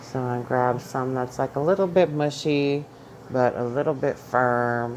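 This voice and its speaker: A woman speaks at a fairly slow pace with an American accent. Her pitch is very deep and low. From New York. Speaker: home cook vlogger with chronic illness. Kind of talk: cooking tutorial. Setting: home kitchen. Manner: loud; animated.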